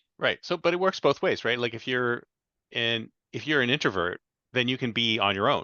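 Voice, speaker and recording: A man talks at a fairly quick pace and medium pitch. His intonation is lively, in an ordinary speaking voice. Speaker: podcast host. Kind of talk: podcast interview questions.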